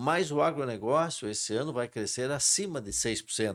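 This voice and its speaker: The background is silent on this very clean recording. Words arrive at a moderate pace. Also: man. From Brazil, western Paraná (Cascavel). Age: 70s. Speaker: agribusiness cooperative president. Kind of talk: interview.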